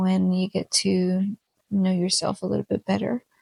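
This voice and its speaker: Recorded with a dry, close sound and no echo, a woman speaks at a fairly slow pace in a Spanish accent. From Mexican American. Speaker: podcast host. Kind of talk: casual solo podcast chat. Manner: hesitant with many fillers.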